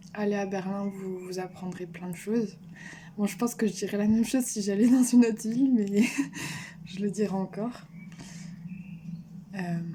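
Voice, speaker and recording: The delivery moves at a moderate pace with fairly even intonation and long, frequent pauses. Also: woman, medium pitch for a woman. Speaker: vlogger. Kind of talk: personal vlog monologue. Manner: hesitant, many fillers.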